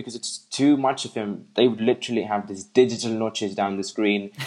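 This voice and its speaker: A man speaks with an English accent at a moderate pace. His pitch varies in an ordinary way. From England. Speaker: tech enthusiast guest. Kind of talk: casual chat.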